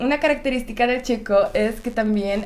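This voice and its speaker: Speaking at a fairly slow pace, a woman talks with a Czech accent. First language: Czech (speaking Spanish). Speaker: YouTuber. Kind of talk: casual chat.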